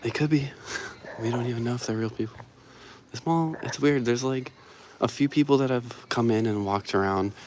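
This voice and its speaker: A quiet man speaks at a medium pitch and a fairly quick pace, with ordinary pitch variation. He leaves long, frequent pauses amid noticeable background noise. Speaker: vlogger exploring dead malls. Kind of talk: live stream walkthrough. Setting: indoors in a quiet empty mall. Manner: casual, enthusiastic; quiet, keeping voice down.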